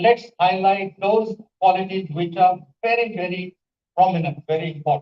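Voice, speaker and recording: With an Indian accent, a man speaks at a high pitch. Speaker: English language professor. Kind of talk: conference panel talk. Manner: animated.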